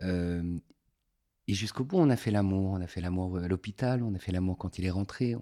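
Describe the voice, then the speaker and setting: A man speaks at a moderate pace in a very deep, low voice with a dark, mellow tone, the sound dry and close with no echo. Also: ordinary pitch variation. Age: 50s. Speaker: former activist association president. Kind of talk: conversation, personal testimony. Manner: halting with repetitions.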